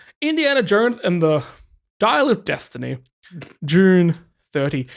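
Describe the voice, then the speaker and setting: A man with a high pitch makes very wide pitch swings on a very clean recording with a silent background. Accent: Australian. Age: 30s. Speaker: podcast host. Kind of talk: casual chat.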